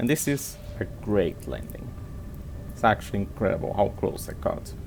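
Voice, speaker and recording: A man with a non-native accent and a fairly low pitch, very wide pitch swings and a moderate pace, over noticeable background noise. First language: not English. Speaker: gaming YouTuber. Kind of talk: gameplay commentary. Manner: halting.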